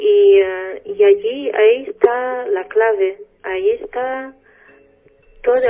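A woman's pitch swings very widely as music plays in the background. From Portugal. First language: Portuguese (speaking Spanish). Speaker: spiritual guest. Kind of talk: radio interview. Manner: halting.

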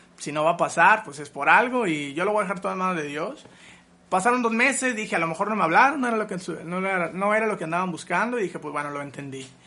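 In a raised, projected voice with a bright, sharp tone, a man talks at a very fast pace, high-pitched for a man, his intonation lively. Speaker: musician. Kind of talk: interview.

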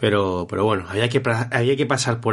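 In a normal speaking voice, a man of medium pitch talks at a moderate pace with ordinary pitch variation over a quiet background. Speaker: football podcast host. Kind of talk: casual chat.

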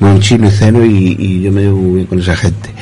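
There is noticeable background noise and audible room echo around a man speaking in a fairly low pitch. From Spain, Zamora. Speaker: resident contributor on community radio. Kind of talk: reading own essay aloud. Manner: halting.

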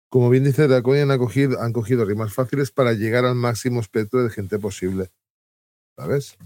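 Fairly quick male speech at medium pitch, dark and mellow in tone, with ordinary pitch variation and a dry, close sound with no echo. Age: middle-aged. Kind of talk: casual chat.

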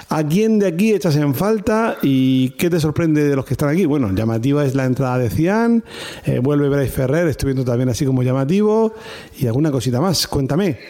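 A man's fairly high voice at a fairly quick pace, with very even loudness and noticeable background noise. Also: lively intonation. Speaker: rugby podcast host. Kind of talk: casual chat.

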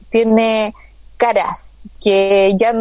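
A woman speaks with a Chilean accent. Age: 30s. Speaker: constitutional convention member. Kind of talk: casual interview.

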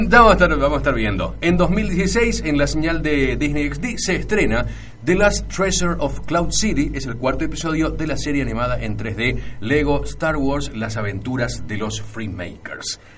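A man speaking with hardly any pauses, audible room echo and noticeable background noise. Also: moderate pace. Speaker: radio host. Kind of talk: radio show.

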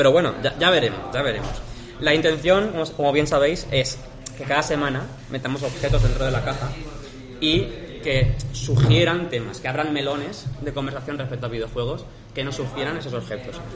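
Amid noticeable background noise and audible room echo, a man with a fairly high pitch talks at a fairly quick pace. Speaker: videogame podcast host. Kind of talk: casual chat.

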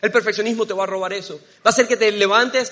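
Speaking at a very fast pace, a man uses a high voice. His pitch varies in an ordinary way. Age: 30s. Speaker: preacher. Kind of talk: sermon.

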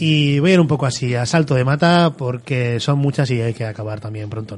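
A man's somewhat breathy voice at a fairly quick pace, with ordinary pitch variation. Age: 40s. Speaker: podcast host. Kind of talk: solo monologue.

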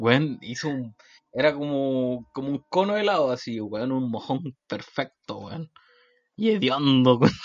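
Here a man speaks with a Chilean accent at a medium pitch. His pace is fairly slow and his intonation lively. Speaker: podcast co-host. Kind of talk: casual chat.

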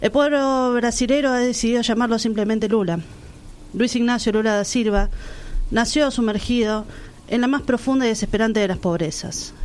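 Audible room echo surrounds a woman speaking at a fairly high pitch with ordinary pitch variation. Her pace is moderate and her loudness very even. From Argentina, La Plata. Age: 30s. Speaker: radio co-host. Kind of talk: scripted narration; casual chat.

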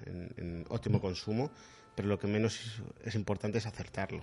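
A man with an ordinary speaking voice talks at a fairly low pitch. His pace is moderate and his intonation fairly even. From Madrid, Spain. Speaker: sommelier. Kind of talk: casual interview.

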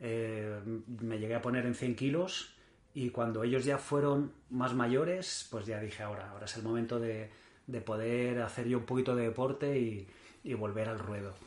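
There is noticeable background noise behind this man. He speaks at a medium pitch and a moderate pace with fairly even intonation. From Mallorca, Spain. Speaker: endurance triathlete. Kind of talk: interview. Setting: in the host's home.

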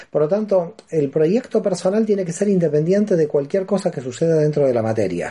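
With a dark, mellow tone and lively intonation, a man speaks in a high pitch. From Argentina, Buenos Aires. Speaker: philosophy professor and author on Kabbalah. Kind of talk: radio interview. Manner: hesitant fillers and repetitions.

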